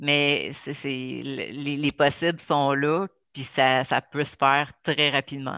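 In a Quebec accent, a woman speaks very slowly in a very deep, low pitch with a bright, sharp tone and monotone, flat intonation, the sound dry and close with no echo over a quiet background. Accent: Québécois French. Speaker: podcast host. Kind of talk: interview. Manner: halting.

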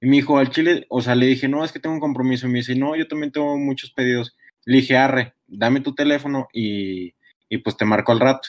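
A man speaks at a very fast pace, his medium pitch held in fairly even intonation. The sound is dry and close, with no echo. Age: young. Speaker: podcast host. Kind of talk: casual chat.

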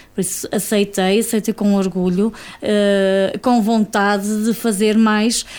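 A woman is talking. Her voice sits at medium pitch. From Portugal, Cinfães area (Espadanedo). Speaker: association board member. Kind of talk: radio interview. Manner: halting.

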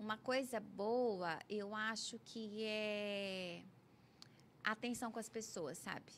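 Fairly high pitch with ordinary variation from a woman. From Brazil, Goiás (Anápolis). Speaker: orthodontist and professor. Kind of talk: interview.

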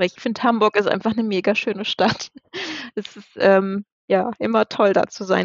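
A woman talks at a fairly high pitch. It is a normal speaking voice. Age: 30s. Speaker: influencer sharing fertility journey. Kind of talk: casual interview. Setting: wearing headphones, remote recording.

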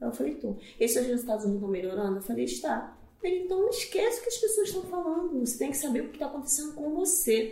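A woman's high-pitched voice with very wide pitch swings at a very fast pace, plus audible room echo and noticeable background noise. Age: 40s. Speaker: teacher, fitness program participant. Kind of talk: casual chat. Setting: office.

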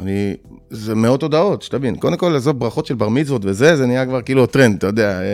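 Speaking very fast, a man's voice rises and falls in a lively way. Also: medium pitch for a man. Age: 40s. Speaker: MMA fighter. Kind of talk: interview.

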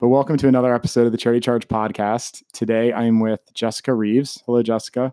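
Talking at a very fast pace with hardly any pauses, a man speaks in a dark, mellow tone at a medium pitch, with monotone, flat intonation, very even loudness and a dry, close sound with no echo. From Baltimore, US. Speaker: podcast host. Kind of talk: interview. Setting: studio.

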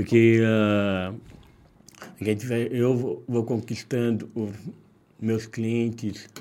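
A man speaks at a very slow pace and a medium pitch, with a dark, mellow tone. His intonation is monotone and flat, broken by long, frequent pauses. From Minas Gerais, Brazil (Caratinga). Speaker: street sweets seller. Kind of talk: casual interview.

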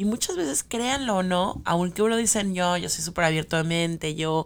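A woman with a Mexican accent speaks at a moderate pace in a fairly low pitch with ordinary pitch variation, on a very clean recording with a silent background. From Mexico City. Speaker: podcast co-host. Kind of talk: casual chat.

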